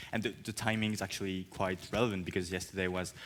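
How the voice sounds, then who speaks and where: A man speaks with fairly low pitch and ordinary pitch variation. The recording is very clean with a silent background. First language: French. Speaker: journalist moderator. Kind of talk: panel moderation.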